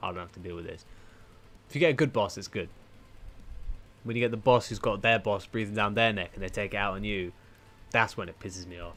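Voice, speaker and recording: A man at a fairly low pitch and very fast pace, with big swings in loudness and long, frequent pauses. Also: ordinary pitch variation. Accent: British. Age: 20s. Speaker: streamer. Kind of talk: casual chat. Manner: animated.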